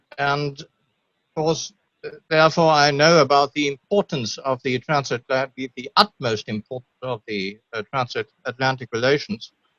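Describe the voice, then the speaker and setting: Speaking with a German accent, a man talks at a moderate pace, fairly high in pitch with ordinary pitch variation. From Germany. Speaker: audience member asking a question. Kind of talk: Q&A question on video call. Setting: video call. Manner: halting.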